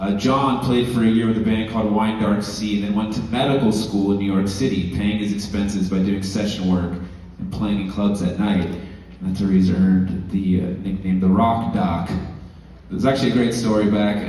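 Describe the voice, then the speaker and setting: A man with a Southern California accent talks at a moderate pace, fairly low in pitch and fairly even in intonation, with audible room echo and noticeable background noise. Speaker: musician's son presenting an award. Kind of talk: award presentation speech.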